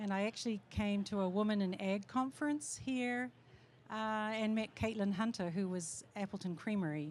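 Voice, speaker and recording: With a slight New Zealand accent, a woman speaks at medium pitch and a moderate pace, her pitch varying in an ordinary way and her loudness very even. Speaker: cheese maker. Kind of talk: panel talk.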